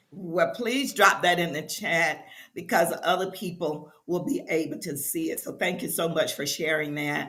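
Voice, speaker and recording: A woman's voice with very wide pitch swings, a moderate pace, and audible room echo. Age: 70s. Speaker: talk show host. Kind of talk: casual chat. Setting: live online stream.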